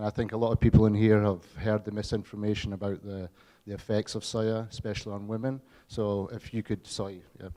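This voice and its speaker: A man with a Scottish accent speaks at a fairly quick pace in a fairly low pitch, with a dark, mellow tone. His intonation is monotone and flat, while his loudness swings widely. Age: 40s. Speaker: audience member asking a question. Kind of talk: audience Q&A question. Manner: halting.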